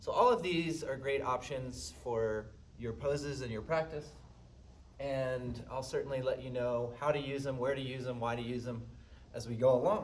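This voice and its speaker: A man with a medium pitch talks at a moderate pace with ordinary pitch variation, amid noticeable background noise and audible room echo. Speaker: yoga instructor. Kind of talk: guided yoga class. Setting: live-streamed studio class. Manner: loud.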